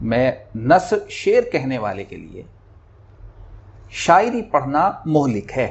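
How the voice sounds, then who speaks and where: Speaking with big swings in loudness, a man leaves long, frequent pauses. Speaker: humorous Urdu poet. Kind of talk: interview.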